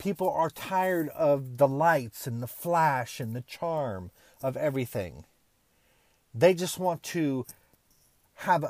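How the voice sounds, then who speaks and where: A man with an ordinary speaking voice talks at a fairly slow pace, his fairly high pitch showing ordinary variation, on a very clean recording with a silent background. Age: 30s. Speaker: podcast host, motivational speaker. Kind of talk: motivational monologue.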